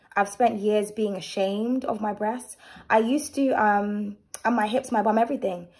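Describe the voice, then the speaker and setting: A woman speaks at a moderate pace in a fairly high, somewhat breathy voice over a quiet background. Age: 30s. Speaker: tarot reader and channel host; vlogger. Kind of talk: tarot reading with personal rant. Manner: animated. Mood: opinionated, candid, sometimes sharp. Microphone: phone near.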